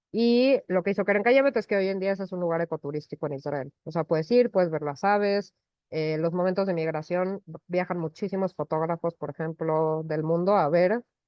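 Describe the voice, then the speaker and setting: Her pitch fairly low, a woman talks at a fairly quick pace with ordinary pitch variation. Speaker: environmental education representative. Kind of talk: online talk. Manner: fast.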